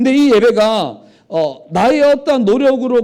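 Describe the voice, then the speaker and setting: Speaking at a moderate pace, a man with a high pitch has a dark, mellow tone. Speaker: pastor. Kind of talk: sermon. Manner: animated.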